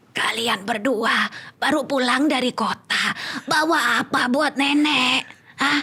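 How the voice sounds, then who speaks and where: A woman's put-on character voice sits high in pitch and moves fairly slowly. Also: very even loudness. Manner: demanding, gruff.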